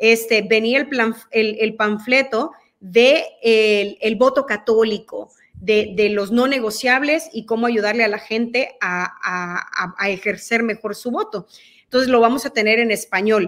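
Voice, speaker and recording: A woman's fairly high voice in a Mexican accent, fairly slow, with ordinary pitch variation and a quiet background. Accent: quite Mexican-sounding Spanish. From El Salvador. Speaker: guest. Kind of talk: interview. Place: home room. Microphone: video call.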